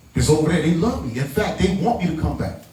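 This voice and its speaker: Audible room echo surrounds a man's speech. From New York, the Bronx. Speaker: event producer. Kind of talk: speech to audience. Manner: animated.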